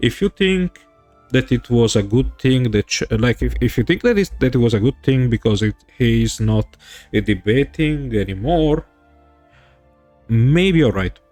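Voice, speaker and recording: Music plays in the background as a man speaks at a medium pitch and very even loudness with long, frequent pauses, in a dry, close sound with no echo. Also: lively intonation, moderate pace. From Italy. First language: Italian. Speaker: streamer. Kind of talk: livestream political commentary. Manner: hesitant, non-fluent English.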